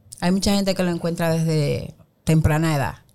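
A woman at a moderate pace. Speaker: women's empowerment coach. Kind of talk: interview.

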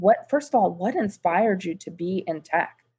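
At a moderate pace, a woman talks in an ordinary speaking voice of medium pitch. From US, New York then Florida. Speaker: podcast host, diversity executive. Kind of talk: interview.

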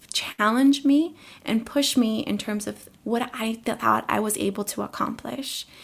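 A woman talks in a plain, everyday voice with an American accent. Her pitch is fairly high and her pace fairly slow. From Colombia, raised in the US. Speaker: teacher. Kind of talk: interview.

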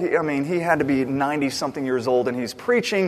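With noticeable background noise behind him, a man speaks in a fairly high pitch. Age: 30s. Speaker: pastor. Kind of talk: sermon.

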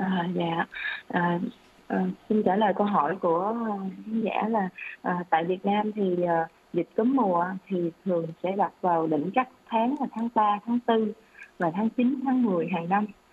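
Long, frequent pauses break up a woman's fairly slow speech. Her voice has a medium pitch and ordinary pitch variation. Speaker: doctor. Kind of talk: expert health advice answering questions on radio. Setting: radio studio broadcast.

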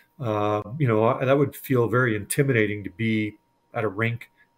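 A plain, everyday voice with a Canadian accent and ordinary pitch variation, on a very clean recording with a silent background. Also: man. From Edmonton, Alberta, Canada. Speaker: sports broadcaster. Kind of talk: casual interview.

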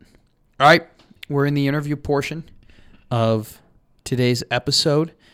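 A man with an American accent speaks at a fairly slow pace, leaving long, frequent pauses. His pitch is fairly high and his intonation fairly even. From Chicago, US Midwest. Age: 20s. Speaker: student podcast host, sports. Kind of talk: casual sports podcast.

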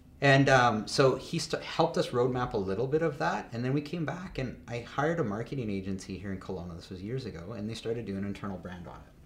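A man talks at a very fast pace with hardly any pauses, at a medium pitch in a somewhat breathy voice. His intonation is lively, and his loudness swings widely. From Canada, Calgary. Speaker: business founder. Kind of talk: casual interview. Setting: studio.

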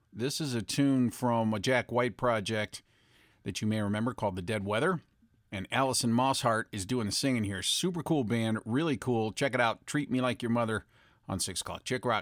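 In a very clean recording with a silent background, a man with an unremarkable speaking voice talks at a medium pitch and a moderate pace with ordinary pitch variation, the sound dry and close with no echo. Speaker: radio DJ. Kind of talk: radio DJ patter. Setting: radio studio broadcast. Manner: upbeat, chatty, friendly; fluent, casual, with filler ums.

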